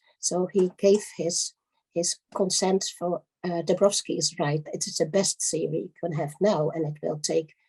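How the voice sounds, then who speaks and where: Dry and close with no echo, a somewhat breathy, dark, mellow voice with a Dutch accent moves at a fairly slow pace with fairly even intonation. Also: woman, fairly low pitch for a woman. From Netherlands. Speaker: lecturer on giftedness and education. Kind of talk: conference lecture. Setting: conference. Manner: halting, many fillers.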